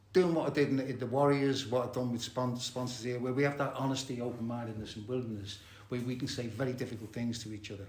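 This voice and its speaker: Against audible room echo, a man with an English accent races at a very fast pace, keeping a medium pitch and fairly even intonation. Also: hardly any pauses, big swings in loudness. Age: 70s. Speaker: recovering addict and therapist. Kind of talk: recovery meeting share. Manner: halting, many fillers and repetitions.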